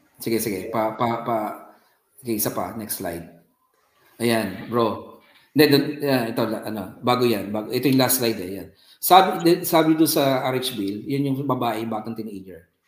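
Audible room echo surrounds a man speaking at a medium pitch. His pace is moderate, with ordinary pitch variation. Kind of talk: talk on faith and media.

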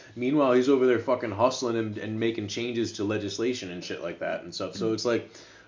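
This man has a plain, everyday voice at medium pitch, with fairly even intonation. He barely pauses, and his loudness swings widely. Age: 30s. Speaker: podcast co-host. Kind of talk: casual chat.

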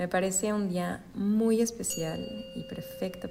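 A woman talks at a very slow pace against audible room echo. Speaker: spiritual wellness podcaster. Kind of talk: solo podcast monologue. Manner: stutters at times.

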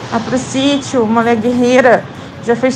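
A woman with a Rio de Janeiro accent, moderate pace and monotone, flat intonation, over noticeable background noise. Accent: carioca. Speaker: podcast community member. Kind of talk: casual voice message. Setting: outdoors, walking to school.

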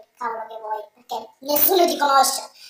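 This woman has a high-pitched voice. She talks very fast. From southern Italy, Salento (Apulia). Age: 20s. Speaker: university student and podcast guest. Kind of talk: interview.

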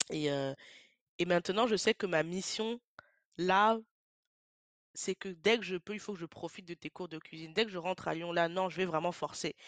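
A woman with a fairly low pitch speaks at a moderate pace, with ordinary pitch variation and long, frequent pauses. The background is quiet, and the sound is dry and close with no echo. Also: big swings in loudness. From France. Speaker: podcast host. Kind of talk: solo podcast monologue, personal tribute. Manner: halting, hesitant.

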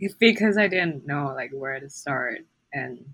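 A woman with a normal speaking voice talks at a moderate pace. Her intonation is lively. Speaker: university student and podcast co-host. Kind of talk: casual chat. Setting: remote call across time zones.

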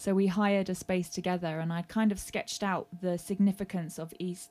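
A woman with a London accent speaks at a moderate pace in a flat monotone of medium pitch, recorded very cleanly over a silent background. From South London. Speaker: singer-songwriter and session musician. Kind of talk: casual interview chat. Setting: garden shed studio.

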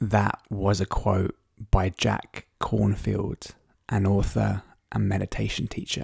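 A man speaks in a gentle, calm tone at a very slow pace. The sound is dry and close, without echo. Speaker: podcast host and meditation guide. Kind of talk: guided meditation. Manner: slow, calm and soothing; gentle, unhurried with long pauses.

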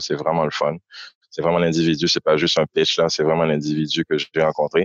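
Very deep, low male voice, dry and close with no echo, over a quiet background. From Haiti (Port-au-Prince). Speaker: podcaster. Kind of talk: casual interview.

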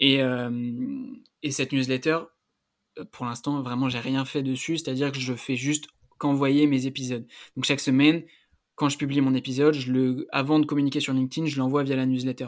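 A man with a medium-pitched voice talks at a fairly quick pace in a monotone, flat intonation, leaving long, frequent pauses, on a very clean recording with a silent background. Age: 20s. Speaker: student and health-entrepreneurship podcaster. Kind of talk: casual interview.

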